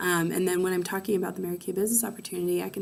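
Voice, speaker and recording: Her fairly low-pitched voice carries vocal fry as the woman speaks. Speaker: direct sales consultant. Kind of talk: vlog tutorial. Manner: fast.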